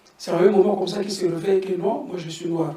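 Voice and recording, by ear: Amid audible room echo, a man with a high pitch and a dark, mellow tone speaks fast with fairly even intonation.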